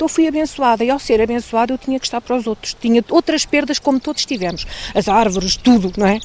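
Over noticeable background noise, a woman talks at a very fast pace with hardly any pauses, in a fairly high pitch with lively intonation. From Portugal, Pedrógão Grande region. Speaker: local community organiser. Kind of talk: interview testimony.

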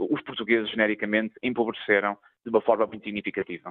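A man talks at a very fast pace. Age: young. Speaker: member of parliament. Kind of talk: radio interview.

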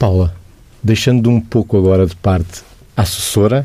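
A man with a somewhat breathy voice and a dark, mellow tone talks at moderate speed and with ordinary pitch variation. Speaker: radio host. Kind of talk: radio interview.

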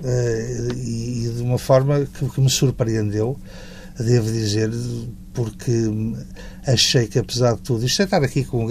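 At a moderate pace and medium pitch, a man speaks against noticeable background noise. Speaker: university professor. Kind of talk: interview.

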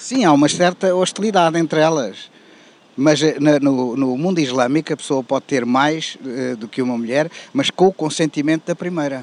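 A man with a European Portuguese accent speaks at a moderate pace and a fairly high pitch with ordinary pitch variation, in a dry, close sound with no echo. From Portugal. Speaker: interviewee on street. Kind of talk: street interview. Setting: outdoors.

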